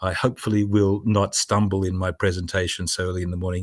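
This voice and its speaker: A man with a very deep, low voice and an Australian accent, fairly quick and monotone with flat intonation, over a quiet background. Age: 60s. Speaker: business educator for doctors. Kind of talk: webinar presentation. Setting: video webinar from home in Sydney.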